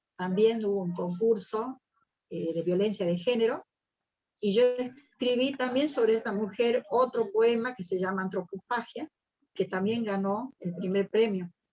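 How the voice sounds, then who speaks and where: Fairly slow and dark, mellow in tone, a woman's voice sits at a fairly high pitch with ordinary pitch variation. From Argentina. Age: 60s. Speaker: poet and singer. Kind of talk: interview.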